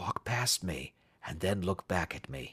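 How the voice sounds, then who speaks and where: In a put-on character voice, a man whispers raspily at a fairly slow pace. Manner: whispering, low.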